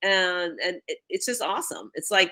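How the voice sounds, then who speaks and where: With a New York accent, a woman talks at a moderate pace and medium pitch, her bright, sharp tone carrying lively intonation. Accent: New York, East Coast. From New York City, the Bronx. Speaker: networking coach. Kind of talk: interview chat.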